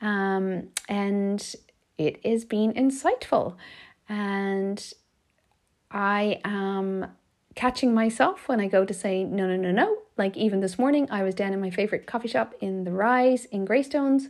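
Very clean and set against a silent background, this recording features a woman with an Irish accent. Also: medium pitch for a woman, ordinary pitch variation, fairly slow pace. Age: 40s. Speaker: life coach, podcast host. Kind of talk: solo podcast monologue, reflective talk. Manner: warm, gentle.

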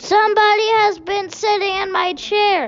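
A put-on character voice moves at a moderate pace while faint music plays in the background. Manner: growling.

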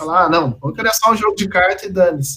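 This man's voice sits high, and its pitch varies in an ordinary way. He talks fairly quickly. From Brazil, Minas Gerais (Campo Belo). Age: 20s. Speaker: professional poker player. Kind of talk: casual interview.

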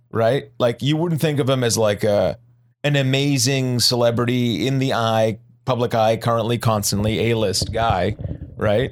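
Using a normal speaking voice, a man talks at a moderate pace and medium pitch with ordinary pitch variation and very even loudness. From Boston area. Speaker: podcast co-host, medical clinician. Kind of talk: casual chat.

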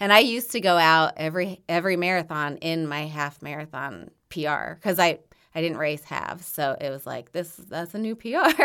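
A woman's fairly low-pitched voice with a bright, sharp tone and hardly any pauses, on a very clean recording with a silent background. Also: ordinary pitch variation, moderate pace. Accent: Midwestern US. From Indiana, Bloomington. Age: 40s. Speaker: marathon runner and running coach. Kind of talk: casual chat.

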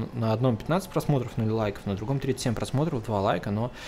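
A man talking at a very fast pace. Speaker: solo podcaster. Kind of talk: casual monologue. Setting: home recording setup. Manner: rambling with fillers.

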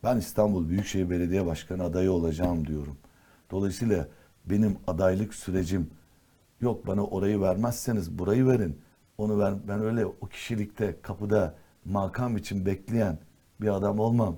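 A man speaks at a moderate pace with a fairly low pitch, a dark, mellow tone and ordinary pitch variation. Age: 60s. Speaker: politician. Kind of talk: talk show interview. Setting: TV studio.

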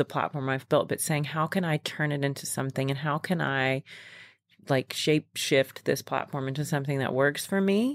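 A woman with an American accent speaks at a moderate pace in a very deep, low voice with ordinary pitch variation, recorded very cleanly against a silent background with a dry, close sound and no echo. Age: 30s. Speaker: yoga coach. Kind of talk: casual chat. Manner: casual, filler-heavy.

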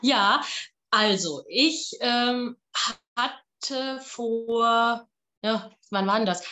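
Very slow speech in a woman's fairly high voice, broken by long, frequent pauses, with ordinary pitch variation. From Palatinate, Germany. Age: 30s. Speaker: opera singer and voice teacher. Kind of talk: casual interview.

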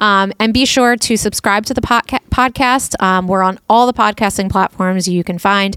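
A woman speaks at a moderate pace with hardly any pauses, her medium-pitched voice bright and sharp, with fairly even intonation. Her loudness stays very even, and the sound is dry and close with no echo. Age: 40s. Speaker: podcast co-host and parent. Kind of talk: casual chat.

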